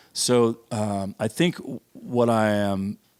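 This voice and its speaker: A man of fairly low pitch with ordinary pitch variation, dry and close with no echo, on a very clean recording with a silent background. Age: 60s. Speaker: coffee roaster, podcast guest. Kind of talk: casual chat. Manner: halting.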